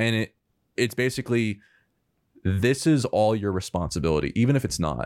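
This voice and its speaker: A man's fairly low voice at a fairly quick pace, with ordinary pitch variation and a dry, close sound with no echo, in a very clean recording over a silent background. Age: 20s. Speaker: filmmaker. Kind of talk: casual chat. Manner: halting.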